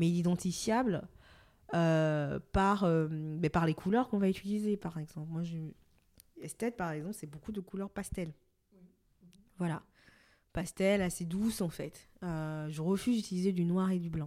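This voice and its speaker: Against a silent background on a very clean recording, a woman with a fairly low voice speaks at a fairly slow pace with ordinary pitch variation. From Benin, Cotonou. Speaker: fashion brand co-founder. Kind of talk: interview. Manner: hesitant, many fillers.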